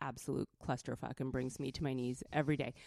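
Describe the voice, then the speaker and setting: A woman with a West Coast American accent speaks at a moderate pace in a dark, mellow tone. The recording is very clean and dry, close with no echo, over a silent background. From California. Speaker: feminist activist and creative director. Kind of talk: interview conversation. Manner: soft-spoken.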